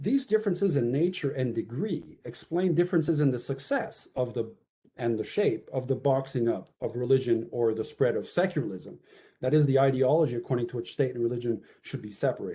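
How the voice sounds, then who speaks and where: A man's fairly high, dark, mellow, somewhat breathy voice with very wide pitch swings at a fairly quick pace. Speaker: author presenting his book. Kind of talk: academic talk. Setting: webinar video call. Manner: fast.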